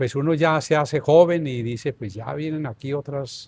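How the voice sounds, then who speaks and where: A man speaks very slowly, his pitch fairly high with ordinary variation. The recording is very clean against a silent background. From Colombia, northern Tolima. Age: 70s. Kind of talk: interview, life story.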